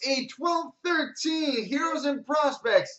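A very slow pace over a quiet background. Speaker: sports card break host. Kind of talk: card break commentary, rattling off hits. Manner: repeats each name twice for emphasis. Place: shop. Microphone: webcam.

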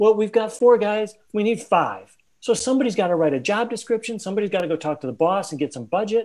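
Talking very fast with hardly any pauses, a man uses a high pitch and lively intonation. The background is quiet. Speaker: open space facilitator and agile consultant. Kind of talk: casual interview conversation. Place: home room. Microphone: video call.

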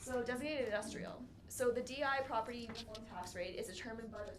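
Noticeable background noise and audible room echo fill this recording. A woman speaks with a fairly high pitch and ordinary pitch variation. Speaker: municipal finance staff. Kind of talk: budget presentation. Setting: council meeting. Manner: fast.

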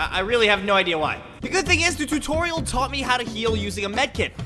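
Energetic, playful man at a very fast pace, with music in the background. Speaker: gaming video creator. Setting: in-game voice chat. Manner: energetic, playful self-deprecating commentary.

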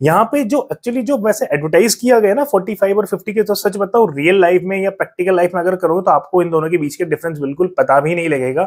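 The speech moves at a fairly quick pace with hardly any pauses and lively intonation against a quiet background. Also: man, high pitch for a man. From India. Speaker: tech reviewer youtuber. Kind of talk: product review. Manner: casual conversational. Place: home room. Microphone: lapel.

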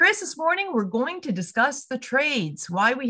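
Speaking in a Canadian accent, a woman uses a high pitch with very wide pitch swings. She keeps a moderate pace, and the background is quiet. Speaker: chamber of commerce podcast host. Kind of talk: podcast interview. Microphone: video call.

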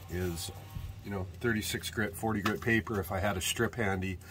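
Faint music plays in the background as a man with a fairly low voice speaks at a moderate pace with fairly even intonation. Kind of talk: tutorial. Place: workshop. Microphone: phone near.

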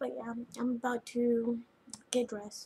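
Here a woman speaks in a somewhat breathy voice. Light background noise can be heard. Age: 20s. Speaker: vlogger. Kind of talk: personal video diary. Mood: upset, venting about relationship. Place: home room. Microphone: webcam.

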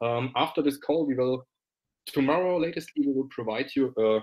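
A man is speaking at a moderate pace. His pitch is fairly high. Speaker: company founder. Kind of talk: business webinar presentation. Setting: live video stream. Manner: animated; laughs often. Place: office.

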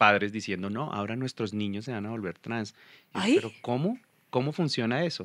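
A man with a fairly low pitch talks with ordinary pitch variation in a dry sound with no echo against a quiet background. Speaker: guest actor. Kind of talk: interview answer. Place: studio. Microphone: studio mic.

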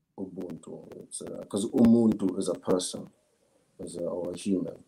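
A man's medium-pitched voice with a dark, mellow tone, ordinary pitch variation and a moderate pace. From South Africa, KwaZulu-Natal, Zulu. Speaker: philosophy student. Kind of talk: interview answer. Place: home room.

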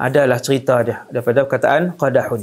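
A man is speaking. The background is quiet. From Malaysia. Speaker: Islamic preacher. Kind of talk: religious lecture. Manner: animated storytelling. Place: studio. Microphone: lapel.

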